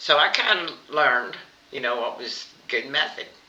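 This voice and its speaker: A woman talks at a moderate pace, with noticeable background noise and audible room echo around her. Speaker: cooking vlogger. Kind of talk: casual chat. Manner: halting.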